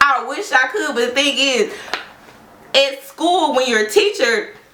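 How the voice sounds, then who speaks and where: With music in the background and audible room echo, a woman projects a raised voice in a high pitch, her animated tone making very wide pitch swings at a fairly slow pace. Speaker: social worker and beauty vlogger. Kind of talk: casual get-ready-with-me chat. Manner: loud.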